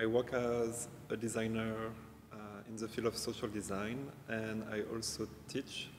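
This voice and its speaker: Amid noticeable background noise and audible room echo, a man with a French accent and fairly low pitch speaks at a moderate pace in a monotone, flat way. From France. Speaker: designer and teacher. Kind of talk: casual interview. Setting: large exhibition hall.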